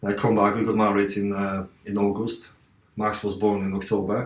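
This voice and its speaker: With a Polish accent, the speech moves along at a moderate pace. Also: man. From Poland, Katowice. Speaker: martial artist and athlete. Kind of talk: podcast interview. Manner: halting.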